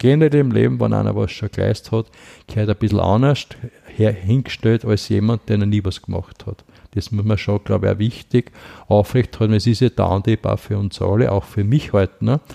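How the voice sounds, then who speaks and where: Fairly low in pitch, a man speaks at a fairly quick pace in a dark, mellow tone with ordinary pitch variation. The sound is dry and close, with no echo. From Lower Austria. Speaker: activist on poverty and mental health. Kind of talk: interview, personal life story.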